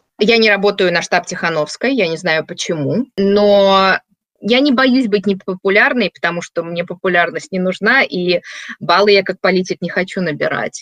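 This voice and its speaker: A woman of medium pitch talks in a normal speaking voice at a moderate pace with ordinary pitch variation. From Belarus, Minsk. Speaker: diaspora activist. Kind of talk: interview.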